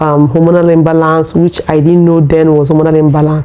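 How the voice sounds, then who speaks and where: Against noticeable background noise, a woman with a fairly low pitch speaks in a monotone, flat intonation. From Nigeria. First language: Nigerian local language. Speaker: vlogger. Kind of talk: casual personal vlog talk. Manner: halting, with fillers.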